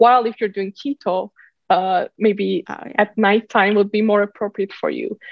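Speaking at a moderate pace, a woman with a Turkish accent has a medium pitch. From Turkey. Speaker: startup founder and CEO. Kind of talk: podcast interview. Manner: halting.

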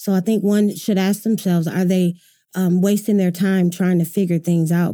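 With an American accent, a woman speaks at a moderate pace and medium pitch in a dark, mellow tone with monotone, flat intonation. The recording is very clean, with a silent background. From Michigan. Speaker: opera singer and performer in recovery. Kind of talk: casual interview.

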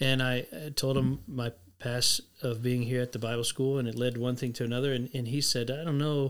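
This man talks at a fairly quick pace with an American accent. His medium-pitched delivery is monotone and flat. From Texas, San Antonio. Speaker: former ministry staff member. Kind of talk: interview.

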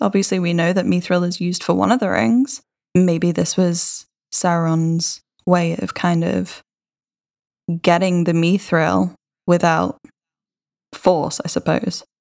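In a British accent, a woman with a fairly low pitch speaks at a very slow pace. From Britain. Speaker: podcast co-host. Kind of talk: casual chat.

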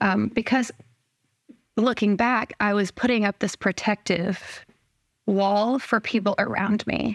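A woman with vocal fry speaks in a medium pitch with monotone, flat intonation and very even loudness, leaving long, frequent pauses, on a very clean recording with a silent background and a dry, close sound with no echo. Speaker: guest sharing chronic illness story. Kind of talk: casual chat.

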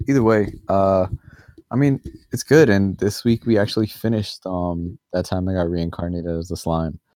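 A man speaks at a fairly quick pace in a fairly low pitch, with ordinary pitch variation. It is a normal speaking voice, and the sound is dry and close with no echo. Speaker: podcast host. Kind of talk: casual sports chat.

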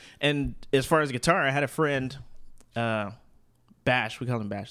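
A man with an American accent speaks at a moderate pace and medium pitch. His tone is bright and sharp, on a very clean recording with a silent background. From Arizona. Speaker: singer-songwriter and guitarist. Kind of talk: casual chat.

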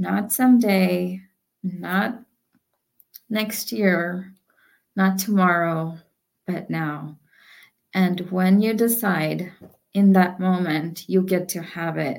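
Pausing long and often, a woman speaks at a very slow pace. Her pitch is medium, with ordinary variation. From India. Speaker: author and entrepreneur. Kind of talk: interview conversation.

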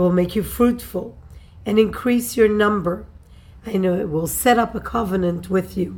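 Vocal fry runs through a woman's speech, which has ordinary pitch variation and audible room echo. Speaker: Torah teacher. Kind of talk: religious text lecture. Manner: formal.

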